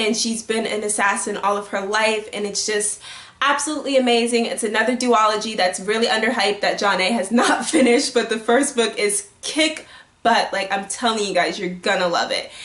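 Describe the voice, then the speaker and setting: The voice is animated, with ordinary pitch variation and a fairly quick pace. Noticeable background noise and audible room echo surround it. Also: woman, fairly high pitch for a woman. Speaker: book youtuber. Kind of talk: casual vlog talk. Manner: fast.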